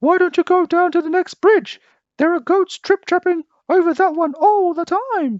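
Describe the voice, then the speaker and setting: A put-on character voice is used here. The sound is squeaky, with an extremely high pitch. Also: moderate pace. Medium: read story.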